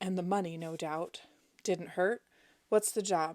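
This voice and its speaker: Using a put-on character voice, a woman speaks at a moderate pace in a raspy, medium-pitched tone with fairly even intonation. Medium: read story. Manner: grumpy, curt.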